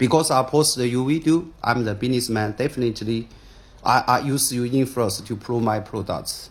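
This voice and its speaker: A somewhat breathy man with a Chinese accent, medium pitch, ordinary pitch variation and a moderate pace. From China. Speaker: businessman. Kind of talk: video statement responding to accusations. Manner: halting, repeated words and fillers.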